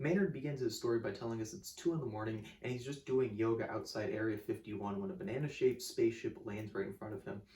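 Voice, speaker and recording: The speech rushes by at a very fast pace with hardly any pauses, animated in tone and lively in intonation. Noticeable background noise sits underneath. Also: man, medium pitch for a man. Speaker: music video essayist. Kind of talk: scripted video essay. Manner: casual, animated; occasional stutter.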